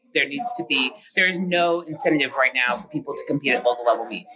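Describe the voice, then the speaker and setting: Noticeable background noise sits under a woman speaking with lively intonation. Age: 40s. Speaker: powerlifter and meet director. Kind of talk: interview. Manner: casual with many fillers.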